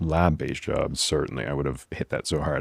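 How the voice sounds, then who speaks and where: Speaking at a very fast pace, a man with a very deep, low pitch and vocal fry keeps his intonation fairly even. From New England, New Hampshire. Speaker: physician podcast host. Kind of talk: solo podcast advice monologue. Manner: casual, conversational with fillers.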